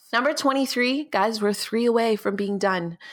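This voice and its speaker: Her tone is animated. The woman's intonation is lively. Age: 20s. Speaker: podcast host and YouTuber. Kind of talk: casual solo monologue. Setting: sitting at her desk at home.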